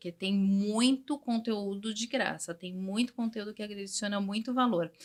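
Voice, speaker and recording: This woman's voice is somewhat breathy, with ordinary pitch variation. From Brazil, São Paulo. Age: 40s. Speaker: English teacher. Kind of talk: interview.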